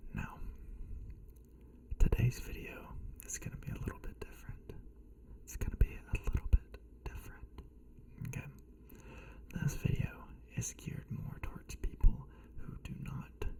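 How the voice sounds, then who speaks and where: A man whispering at a moderate pace, with big swings in loudness, long, frequent pauses and noticeable background noise. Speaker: ASMR creator. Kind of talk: ASMR tutorial talk. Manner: soft-spoken whisper.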